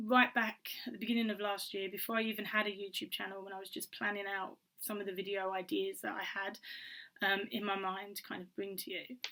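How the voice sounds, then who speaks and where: A woman's medium-pitched voice with a British accent, bright and sharp in tone, very fast, with fairly even intonation. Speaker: author YouTuber. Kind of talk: casual vlog talk. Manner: hesitant, many ums.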